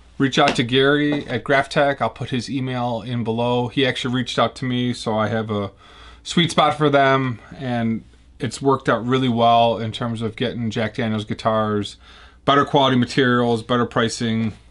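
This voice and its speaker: The speaker talks at a moderate pace with a Chicago accent. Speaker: guitar builder. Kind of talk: tutorial. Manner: casual.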